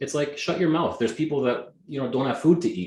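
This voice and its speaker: A man speaks with a Canadian accent. His tone is energetic and somewhat breathy. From Canada, Greek immigrant family. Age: 40s. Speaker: real estate agent. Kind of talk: interview.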